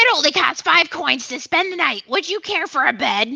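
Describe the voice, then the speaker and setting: A put-on character voice with an extremely high pitch. It moves at a moderate pace. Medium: voice reel. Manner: polite, welcoming.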